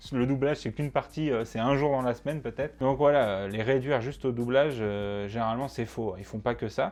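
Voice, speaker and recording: A man talks at a fairly quick pace with hardly any pauses. His pitch is medium and his intonation fairly even. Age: 20s. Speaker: student, YouTuber about dubbing. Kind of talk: casual talk to camera. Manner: casual, hesitant with fillers.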